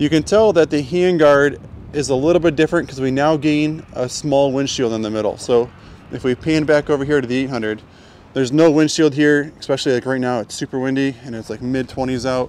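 A man speaks at a moderate pace with ordinary pitch variation. The sound is dry, with no echo. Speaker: dealership video host. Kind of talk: product walk-around commentary. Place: street. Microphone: phone near.

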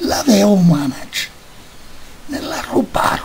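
A very slow pace of speech, with noticeable noise behind it. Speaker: poetry reader. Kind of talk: poetry reading.

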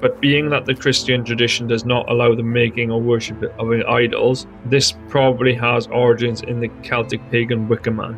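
Music plays behind a man with a Welsh accent. He talks at a moderate pace with fairly even intonation. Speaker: history narrator. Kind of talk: history narration. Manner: dull, flat.

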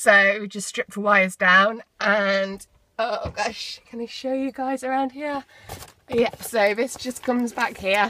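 A woman's bright, sharp voice at a fairly slow pace, with fairly even intonation.

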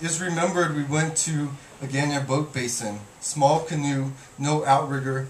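A man's fairly high voice at a moderate pace with fairly even intonation, plus audible room echo and light background noise. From Guam. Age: 30s. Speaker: poet. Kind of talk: poetry reading. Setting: bookstore reading with audience. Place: shop. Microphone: camera far.

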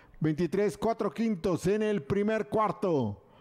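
A man with ordinary pitch variation. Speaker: horse race announcer. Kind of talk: live race commentary. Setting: racetrack PA system.

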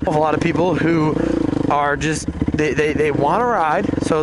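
A man talks while loud background noise fills the recording. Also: dry sound with no echo. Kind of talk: casual vlog chat. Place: forest. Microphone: helmet.

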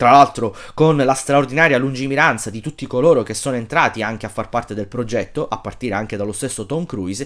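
Against a quiet background, a man at a medium pitch speaks at a very fast pace with lively intonation. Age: 30s. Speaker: film YouTuber; film commentator. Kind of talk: casual monologue. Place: home room. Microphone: phone near.

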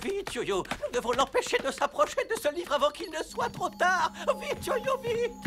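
A man puts on a cartoonish character voice at a moderate pace, pitched extremely high and swinging widely up and down.

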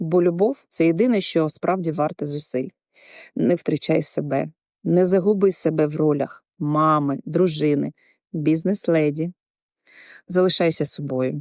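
In a dry, close recording with no echo, a woman with a very deep, low pitch speaks at a fairly slow pace, pausing long and often. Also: ordinary pitch variation, very clean recording, silent background. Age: 50s. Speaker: insurance agent. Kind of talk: scripted narration.

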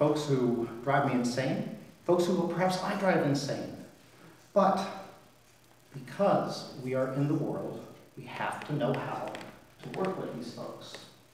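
A man speaks at a fairly slow pace, leaving long, frequent pauses. Light background noise and audible room echo are present. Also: ordinary pitch variation. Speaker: priest. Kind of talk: sermon. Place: church.

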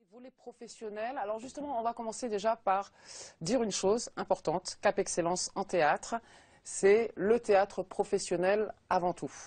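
A woman speaks at a moderate pace with ordinary pitch variation and big swings in loudness. The background is quiet. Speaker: TV show host. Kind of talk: TV talk show presenting. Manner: upbeat. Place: studio. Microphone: lapel.

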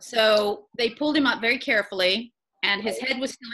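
A woman's voice with lively intonation at a moderate pace. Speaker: interview guest. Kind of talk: interview answer. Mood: warm, playful storytelling. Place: home room. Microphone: video call.

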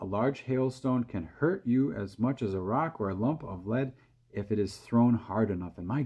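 This is plain reading aloud. The words are simply read off.

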